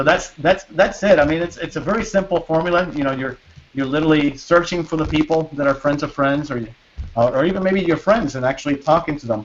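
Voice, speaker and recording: Over noticeable background noise, a man talks at a very fast pace in a fairly high voice with ordinary pitch variation. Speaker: internet marketing entrepreneur. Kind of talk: webinar sales pitch. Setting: video call. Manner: halting, many fillers and repeats.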